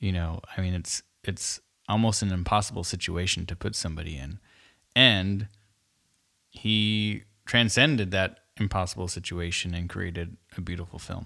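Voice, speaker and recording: With a Californian accent, a man talks at a moderate pace in a very deep, low pitch with ordinary pitch variation, a bright, sharp tone and long, frequent pauses, in a very clean recording with a silent background. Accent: Californian American English. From San Francisco Bay Area. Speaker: podcast co-host, food industry worker. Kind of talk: casual chat.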